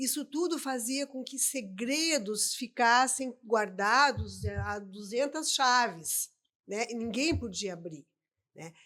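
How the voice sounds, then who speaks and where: A woman speaks very slowly at a fairly high pitch, her tone bright and sharp, with lively intonation and big swings in loudness. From southern Brazil, Rio Grande do Sul. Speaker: adoption specialist. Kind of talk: podcast interview. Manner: hesitant, many repetitions.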